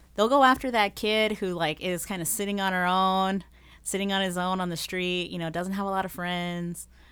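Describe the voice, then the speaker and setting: On a very clean recording with a silent background, a woman speaks at medium pitch and a moderate pace with fairly even intonation. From Las Vegas, Nevada. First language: Spanish. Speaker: nonprofit founder, anti-trafficking advocate. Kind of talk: interview.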